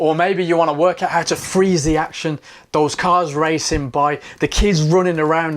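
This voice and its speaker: A man speaks at a fairly quick pace. His pitch sits fairly high. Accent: Birmingham. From Birmingham, England. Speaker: photography teacher. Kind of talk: sales pitch. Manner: casual, upbeat.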